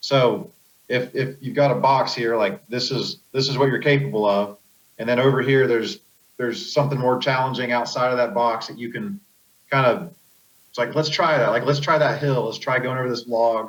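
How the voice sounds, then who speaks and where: A man with an American accent has a plain, everyday voice, medium in pitch with ordinary pitch variation. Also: moderate pace. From Pennsylvania. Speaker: off-road racer. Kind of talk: podcast interview.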